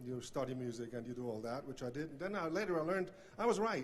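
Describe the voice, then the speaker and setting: A man talks at a fairly quick pace with a Swiss accent. His pitch variation is ordinary. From Switzerland. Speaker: banjo player, hall of fame inductee. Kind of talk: acceptance speech. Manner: halting, many fillers.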